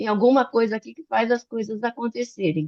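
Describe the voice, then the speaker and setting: A woman speaks with lively intonation. The recording is dry and close, with no echo. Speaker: physician and medical educator. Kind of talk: online talk / lecture. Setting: video call. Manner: fast; animated.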